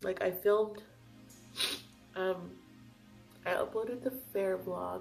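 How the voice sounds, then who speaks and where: A woman at a very slow pace, with long, frequent pauses and music in the background. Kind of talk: casual talk to camera. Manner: casual, chatty.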